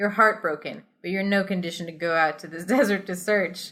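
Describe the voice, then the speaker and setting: Speaking at a fairly quick pace, a woman uses a plain, everyday voice with fairly even intonation. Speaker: podcast host. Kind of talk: interactive story reading.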